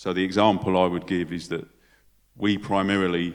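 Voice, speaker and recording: In a very clean recording with a silent background, a man with a London accent speaks in a very deep, low voice with flat, monotone intonation. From London, England. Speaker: football club charity head. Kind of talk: panel discussion. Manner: hesitant, with filler words and repetitions.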